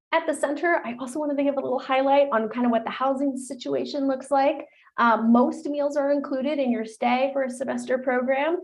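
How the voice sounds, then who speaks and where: Talking at a fairly quick pace with hardly any pauses, a woman uses a high-pitched voice. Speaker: study abroad advisor. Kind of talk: webinar presentation. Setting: live-streamed webinar. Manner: fast; animated.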